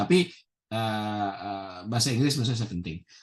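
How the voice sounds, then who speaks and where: Over a quiet background, a man with an ordinary speaking voice talks at a moderate pace and a fairly low pitch. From Indonesia. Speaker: professor. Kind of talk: interview. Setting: video call.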